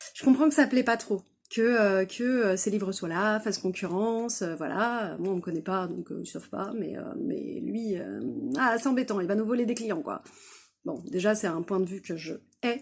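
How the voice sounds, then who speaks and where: On a very clean recording with a silent background, a woman speaks at a moderate pace at medium pitch with lively intonation. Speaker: author and craft fair exhibitor. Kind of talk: casual vlog storytelling. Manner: many hesitations (euh); loud.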